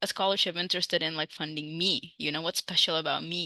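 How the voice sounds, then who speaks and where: With a slight Midwestern accent, the voice has a bright, sharp tone and fairly even intonation, recorded dry and close with no echo over a quiet background. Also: woman. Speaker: language teacher and content creator. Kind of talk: casual interview. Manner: halting, many fillers.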